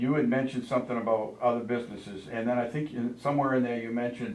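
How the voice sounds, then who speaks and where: A man speaks at a medium pitch, with audible room echo around him. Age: 70s. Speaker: laundromat owner speaking at town meeting. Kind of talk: public comment at town board meeting. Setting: town office meeting room. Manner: halting, repetitive.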